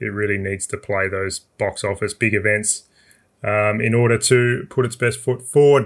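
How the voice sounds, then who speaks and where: A man speaks at a moderate pace, captured on a very clean recording with a silent background. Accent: Australian. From South Australia. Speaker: motorsport journalist. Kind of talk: casual chat.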